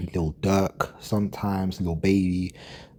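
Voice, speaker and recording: A dark, mellow tone with a London accent. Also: man. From London, England. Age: 20s. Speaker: gaming commentary vlogger. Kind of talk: casual monologue. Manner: hesitant, many fillers and repeats.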